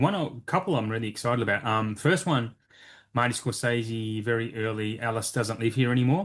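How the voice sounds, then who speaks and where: An unremarkable speaking voice from a man, medium in pitch, at a moderate pace over a quiet background. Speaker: physical media collector, podcaster. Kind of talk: casual chat.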